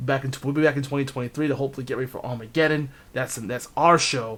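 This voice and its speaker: A man with an American accent, medium pitch and a fairly quick pace. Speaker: video game match commentator. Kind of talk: live commentary. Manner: animated.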